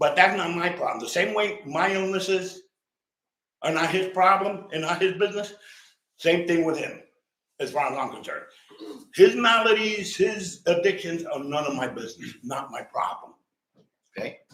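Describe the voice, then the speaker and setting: Audible room echo surrounds a high-pitched man with a New York accent and a bright, sharp tone. He talks at a moderate pace with ordinary pitch variation, big swings in loudness and long, frequent pauses. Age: 60s. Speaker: resident speaking at public comment. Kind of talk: public comment complaint. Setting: council meeting. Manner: animated.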